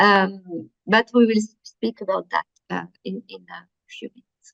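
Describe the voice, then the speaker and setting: A woman speaks in a French accent. The sound is dry and close, with no echo. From France. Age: 50s. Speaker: workshop presenter. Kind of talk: workshop presentation. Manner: halting, many fillers.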